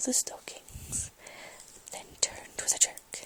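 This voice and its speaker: Someone whispers at a fairly slow pace in a relaxed tone over noticeable background noise. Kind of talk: ASMR poetry reading, softly spoken. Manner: soft-spoken, relaxed.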